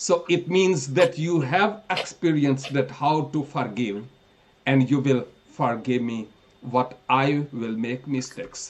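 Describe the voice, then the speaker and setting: Very slowly, a man with a Pakistani accent speaks at a fairly high pitch with ordinary pitch variation. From northern Pakistan. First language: Pahari. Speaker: preacher. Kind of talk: sermon.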